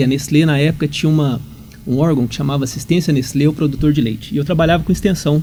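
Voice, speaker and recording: The man's voice sits fairly high, and his pitch varies in an ordinary way. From Minas Gerais, Brazil (Uberaba). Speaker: agronomy professor. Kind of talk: podcast interview. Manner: halting, many repetitions.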